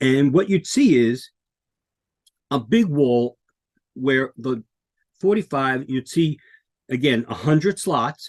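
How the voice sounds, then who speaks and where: A man's medium-pitched voice with an American accent at a fairly slow pace, the sound dry and close with no echo. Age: 60s. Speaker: podcast co-host and author. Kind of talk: casual talk to camera. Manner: hesitant, many fillers.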